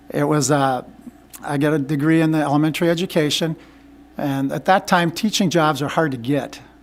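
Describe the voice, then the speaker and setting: With an Upper Midwest accent, a man speaks at a moderate pace in a fairly high pitch. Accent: Upper Midwest American. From Minnesota (Minneapolis). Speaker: school board candidate, retired teacher. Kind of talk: interview. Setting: meeting room with microphone. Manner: halting.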